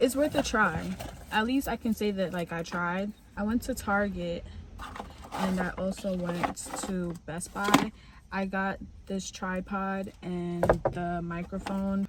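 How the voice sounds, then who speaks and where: Speaking quietly and very slowly with long, frequent pauses, a woman of medium pitch keeps fairly even intonation over noticeable background noise. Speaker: vlogger. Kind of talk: vlog monologue. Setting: recording on the go, walking home.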